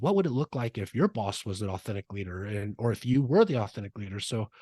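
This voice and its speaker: A man speaks very fast at medium pitch, somewhat breathy, with ordinary pitch variation, in a dry, close sound with no echo and a quiet background. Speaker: leadership trainer and keynote speaker. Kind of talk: podcast interview. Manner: animated.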